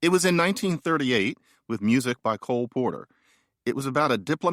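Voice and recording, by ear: With the background quiet, a natural voice reads aloud.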